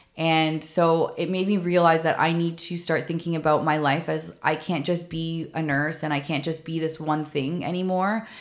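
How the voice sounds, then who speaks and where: A woman speaks with a Canadian accent in a monotone, flat intonation. She hardly pauses at all. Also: fairly low pitch for a woman, moderate pace. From Canada, Toronto. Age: 30s. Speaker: podcast host, former mental health nurse. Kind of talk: personal storytelling monologue.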